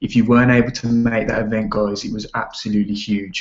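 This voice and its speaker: Quietly and at a very fast pace, a man speaks in a fairly low pitch. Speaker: network marketing team leader. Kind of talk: training call. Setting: online video call. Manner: quiet, hushed; casual, energetic.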